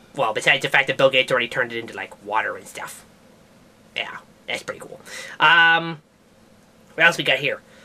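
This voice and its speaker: A put-on character voice rattles along at a very fast pace in a low-to-middle pitch. Long pauses break it up often. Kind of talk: comedic science news talk to camera. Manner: casual, rambling.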